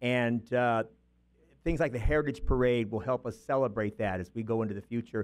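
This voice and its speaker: With an American accent, a man talks at a fairly quick pace, at medium pitch with ordinary pitch variation. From US West Coast, southern California. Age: 60s. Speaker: community volunteer, award recipient. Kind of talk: acceptance speech. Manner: hesitant, many fillers.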